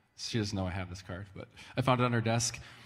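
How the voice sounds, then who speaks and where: Audible room echo surrounds a man speaking with fairly low pitch and ordinary pitch variation. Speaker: pastor. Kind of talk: church announcements. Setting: church with audience. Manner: casual, halting.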